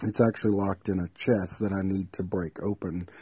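Against a quiet background, a man with a very deep, low pitch talks at a moderate pace in a dark, mellow, somewhat breathy tone with fairly even intonation. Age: 40s. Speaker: TV journalist. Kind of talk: personal video diary. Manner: rambling, casual.

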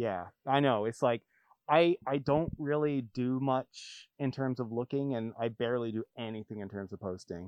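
In an American accent, a man with an unremarkable speaking voice speaks at medium pitch and a moderate pace, with ordinary pitch variation. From US Pacific Northwest. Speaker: record store owner. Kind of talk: casual chat.

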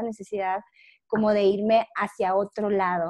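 A woman speaks at a fairly slow pace in a fairly high pitch. Her intonation is monotone and flat. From Mexico, Monclova, Coahuila. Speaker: podcast guest, former systems engineer. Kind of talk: casual interview.

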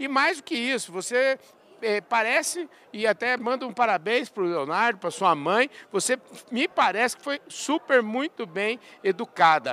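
In a raised, projected voice with an extremely high pitch, a man speaks at a moderate pace with lively intonation and a bright, sharp tone, the sound dry and close with no echo. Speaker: agribusiness podcast host. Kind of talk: casual interview. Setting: trade fair stand.

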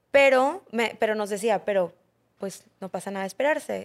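A woman speaks with fairly even intonation in a dry, close sound with no echo. The recording is very clean and the background silent. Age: 30s. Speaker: mother sharing pregnancy loss, entrepreneur. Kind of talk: testimony.

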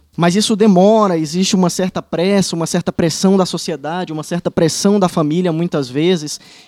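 In a northeastern Brazilian accent, a man speaks in a high voice, the sound dry and close with no echo. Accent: northeastern Brazilian (Ceará). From Ceará, Brazil (Fortaleza). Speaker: state attorney. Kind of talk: casual chat.

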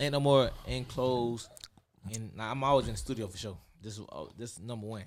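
At a fairly quick pace, a man speaks in a plain, everyday voice of medium pitch with fairly even intonation. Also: big swings in loudness. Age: 20s. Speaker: rapper. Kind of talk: casual chat.

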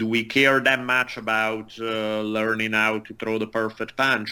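A man talks at a fairly slow pace. His tone is bright and sharp, his intonation flat and monotone. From Italy. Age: 40s. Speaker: martial artist, writer and history professor. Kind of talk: casual interview conversation. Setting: remote call interview.

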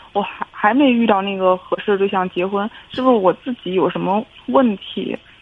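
Medium-pitched female speech against noticeable background noise. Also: ordinary pitch variation, moderate pace. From Hebei, China (family from Shandong). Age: 30s. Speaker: caller. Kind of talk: call-in advice conversation. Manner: halting.

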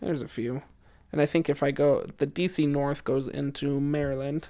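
A man with a normal speaking voice talks at a moderate pace and a fairly high pitch against a quiet background. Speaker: former missionary, student. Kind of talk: casual interview.

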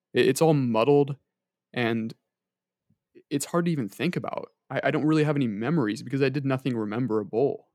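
A man talks at a fairly quick pace in an ordinary speaking voice, medium in pitch with ordinary pitch variation. The sound is dry and close, with no echo. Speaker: student, podcast co-host. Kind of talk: casual chat.

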